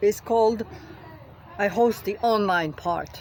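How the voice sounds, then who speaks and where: A woman speaks at a very slow pace with lively intonation over noticeable background noise. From France. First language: French. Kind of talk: rally speech. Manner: halting, many fillers.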